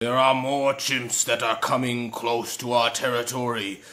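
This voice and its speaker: A man's cartoonish character voice at medium pitch, with monotone, flat intonation. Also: moderate pace. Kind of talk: video game character dialogue.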